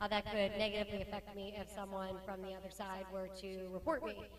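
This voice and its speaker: Against noticeable background noise, a woman of medium pitch talks at a fairly quick pace. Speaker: academic and firearms expert witness. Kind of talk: panel interview. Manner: fast; animated.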